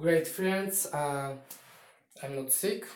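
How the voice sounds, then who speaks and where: With a Polish accent, a man speaks in a fairly high voice with fairly even intonation. His pace is very slow, and room echo is audible. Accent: Polish accent, non-native English. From Poland. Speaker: YouTuber. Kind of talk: casual vlog monologue. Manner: halting, with fillers and repetitions.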